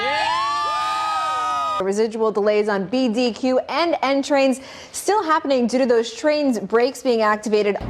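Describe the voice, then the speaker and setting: Crowd noise sits behind a woman speaking at a fairly slow pace with hardly any pauses. Her pitch is high with very wide swings, and her loudness is very even. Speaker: television news anchor and reporter. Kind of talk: broadcast news anchoring and field reporting. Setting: studio news anchor desk.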